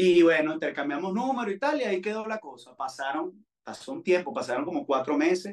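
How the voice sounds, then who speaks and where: Lively intonation marks a man who talks at a very fast pace. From Venezuela, Valencia. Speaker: singer. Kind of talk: interview.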